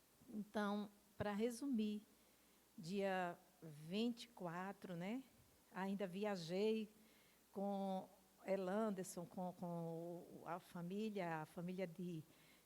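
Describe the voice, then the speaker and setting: Dark and mellow in tone, a woman speaks at a medium pitch and a very slow pace, pausing long and often. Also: fairly even intonation. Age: 60s. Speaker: pastor giving testimony. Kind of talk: testimony. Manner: halting.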